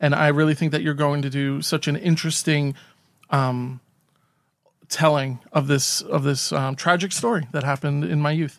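A man with an unremarkable speaking voice and fairly even intonation, in a very clean recording with a silent background. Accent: American. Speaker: podcast co-host. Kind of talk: casual chat.

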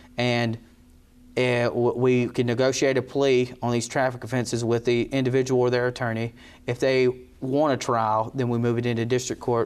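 With a North Carolina accent, a man talks at a moderate pace in a medium-pitched voice, his intonation monotone and flat and his loudness very even. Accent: Southern US (North Carolina). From North Carolina, Rockingham County. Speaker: district attorney. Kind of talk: interview. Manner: halting, many fillers.

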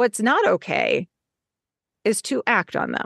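A woman speaks with lively intonation. The sound is dry and close with no echo, over a quiet background. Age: 50s. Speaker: author. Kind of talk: interview.

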